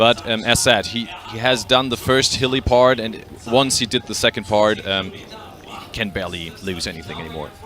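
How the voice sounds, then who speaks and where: Over music in the background, a man with a German accent talks at a moderate pace in a medium pitch, with ordinary pitch variation and big swings in loudness. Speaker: triathlon commentator. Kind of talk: live commentary. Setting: studio. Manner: halting.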